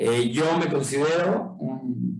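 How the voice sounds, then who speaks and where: Lively intonation marks a man's somewhat breathy voice. The room echo is audible. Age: 50s. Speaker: urban planning official, guest lecturer. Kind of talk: guest lecture.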